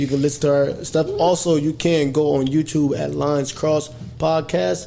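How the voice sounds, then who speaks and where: With noticeable background noise, a man speaks at a fairly high pitch. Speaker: podcast host. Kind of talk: casual chat.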